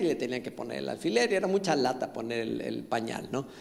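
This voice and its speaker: A man at a fairly quick pace with ordinary pitch variation, with audible room echo. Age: 60s. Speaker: pastor. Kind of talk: sermon. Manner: halting.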